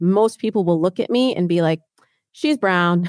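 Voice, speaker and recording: A woman's fairly low-pitched voice with an American accent and lively intonation, very cleanly recorded against a silent background, with a dry, close sound and no echo. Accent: slight Midwest accent, can put it back on. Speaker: dating coach. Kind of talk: casual interview.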